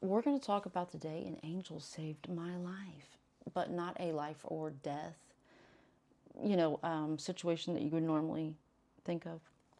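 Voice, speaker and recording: A fairly low-pitched woman's voice with fairly even intonation. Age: 40s. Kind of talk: casual storytelling to camera. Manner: rambling, conversational.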